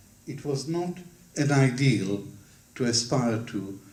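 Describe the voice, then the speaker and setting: Here a man talks at a fairly slow pace. Audible echo fills the room. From Israel (Ramat Gan), born in Baghdad; schooled in London from 15. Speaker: historian, author. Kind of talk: book launch talk. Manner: formal.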